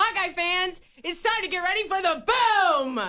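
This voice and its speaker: A woman performs a put-on character voice. Her pitch is extremely high. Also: moderate pace. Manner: dramatic, hyped announcer.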